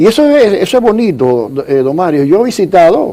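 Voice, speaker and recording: This voice moves at a moderate pace with very wide pitch swings. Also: man. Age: 70s. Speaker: economist, social security expert. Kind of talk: TV interview.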